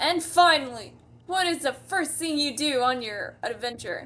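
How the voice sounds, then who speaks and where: A put-on character voice from a woman, pitched high and delivered at a moderate pace. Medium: read story. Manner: mock-archaic, officious.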